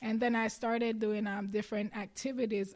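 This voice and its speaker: This woman has a Jamaican accent. Her pitch sits fairly high. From Jamaica, Clarendon parish. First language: Jamaican Patois. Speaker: athlete. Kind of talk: interview.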